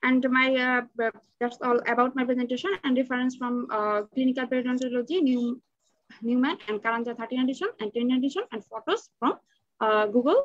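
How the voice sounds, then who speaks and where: High-pitched and with ordinary pitch variation, a woman speaks at a fairly quick pace. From Bangladesh. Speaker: dental student; presenter. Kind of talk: student paper presentation. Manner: halting. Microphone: webcam.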